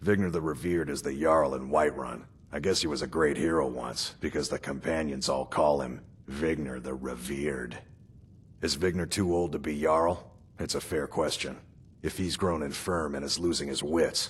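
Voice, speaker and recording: Raspy, very deep, low-pitched put-on character voice from a man at a moderate pace. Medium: video game. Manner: musing, questioning.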